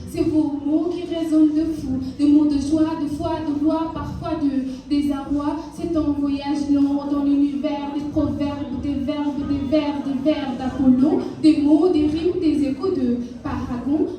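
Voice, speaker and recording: A woman's high-pitched, monotone voice at a very slow pace, with flat intonation and noticeable background noise. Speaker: slam poet. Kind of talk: slam poetry performance. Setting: live stage event.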